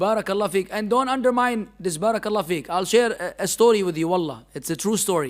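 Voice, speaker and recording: With an Arabic accent, a man speaks at a high pitch. He goes very fast with hardly any pauses. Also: ordinary pitch variation. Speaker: Islamic teacher. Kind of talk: religious lecture. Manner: animated.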